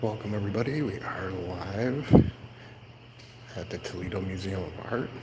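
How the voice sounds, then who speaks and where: Quiet and fairly low-pitched, a man speaks at a moderate pace with ordinary pitch variation, big swings in loudness and long, frequent pauses, over noticeable background noise with audible room echo. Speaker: family vlogger live streaming. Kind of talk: live stream walkthrough. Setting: indoors in a museum. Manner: quiet, keeping voice down.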